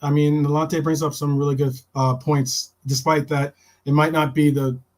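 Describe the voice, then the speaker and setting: On a very clean recording with a silent background, a man with an American accent speaks at a moderate pace in a monotone, flat intonation, his voice fairly high-pitched for a man and somewhat breathy. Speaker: football podcast host. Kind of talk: live-stream casual chat. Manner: halting, many repeated words.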